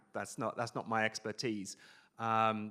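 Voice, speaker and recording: A man speaks at a medium pitch. His tone is bright and sharp. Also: very clean recording, silent background. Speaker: VR marketing company founder, conference speaker. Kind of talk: conference talk. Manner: fast.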